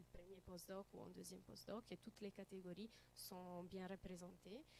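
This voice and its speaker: With an Italian accent, a woman talks at a moderate pace. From Italy. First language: Italian (speaking French). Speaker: student researcher. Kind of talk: conference presentation. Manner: halting, many hesitations.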